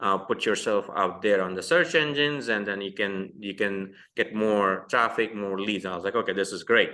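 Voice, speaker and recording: Moderate pace from a man with an Indian accent, fairly low pitch and ordinary pitch variation. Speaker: entrepreneur. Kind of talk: podcast interview. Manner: halting, many fillers.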